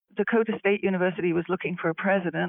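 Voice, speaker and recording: A woman speaks with a British accent. Her pitch is fairly low and her intonation fairly even. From England, London. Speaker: university president and AI commissioner. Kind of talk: interview.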